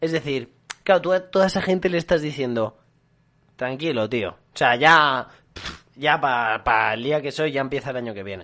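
At a moderate pace, a man talks with a fairly high pitch, a bright, sharp tone and lively intonation. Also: big swings in loudness. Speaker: podcast co-host. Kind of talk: casual chat.

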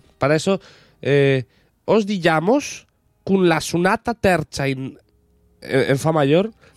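With lively intonation but very even loudness, the speaker goes at a very slow pace with long, frequent pauses, in a dry, close sound with no echo. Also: man, high pitch for a man. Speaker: podcast co-host. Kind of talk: casual chat.

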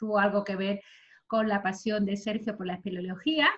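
At a moderate pace, a woman speaks in a somewhat breathy voice of medium pitch with fairly even intonation. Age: 40s. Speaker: podcast host. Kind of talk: guest introduction; casual chat.

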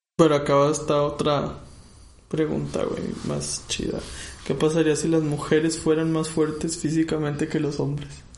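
A man at a fairly high pitch and moderate pace, monotone and flat, with audible room echo and noticeable background noise. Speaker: podcast co-host. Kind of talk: casual chat.

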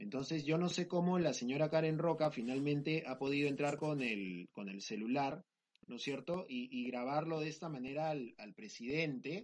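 A man with a plain, everyday voice, fairly high in pitch, speaks at a moderate pace with ordinary pitch variation. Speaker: podcast host. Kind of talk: casual chat.

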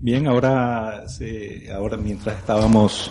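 With audible room echo and noticeable background noise, a man speaks at a very slow pace, medium in pitch, with ordinary pitch variation. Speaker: podcaster. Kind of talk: casual panel chat. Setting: live event in a brewery.

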